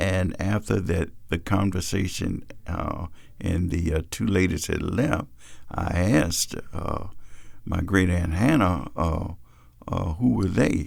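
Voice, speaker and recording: With a Virginia accent, a man speaks very slowly in a very deep, low voice. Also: ordinary pitch variation. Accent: Virginia, Southern US. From Fredericksburg, Virginia. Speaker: reverend. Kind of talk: oral history narrative. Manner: hesitant, with frequent fillers.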